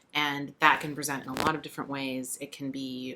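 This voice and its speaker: Noticeable background noise surrounds a woman talking at a fairly quick pace. Her pitch is very deep and low, her intonation monotone and flat. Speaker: podcast guest. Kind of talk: casual interview chat. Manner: thoughtful, hesitant with fillers.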